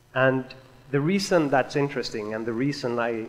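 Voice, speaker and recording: Speaking with a Swedish accent, a man keeps a moderate pace and ordinary pitch variation. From Sweden. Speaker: software developer. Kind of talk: conference talk.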